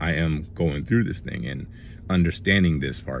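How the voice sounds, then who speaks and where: Room echo can be heard as a man with a very deep, low pitch speaks. His pace is moderate, and his pitch variation is ordinary. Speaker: motivational vlogger. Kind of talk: casual talk to camera.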